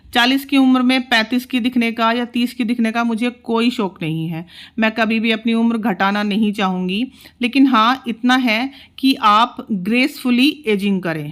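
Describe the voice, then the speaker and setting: A woman with a fairly high pitch and ordinary pitch variation has an ordinary speaking voice, heard on a very clean recording with a silent background. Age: 40s. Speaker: homemaker vlogger. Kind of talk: vlog narration. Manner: casual, conversational.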